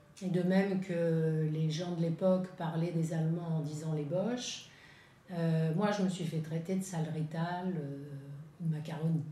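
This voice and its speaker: A woman speaks at a very slow pace with monotone, flat intonation. Audible room echo and noticeable background noise surround her. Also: fairly low pitch for a woman. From France. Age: 70s. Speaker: witness, daughter of Italian father. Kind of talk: testimony. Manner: halting.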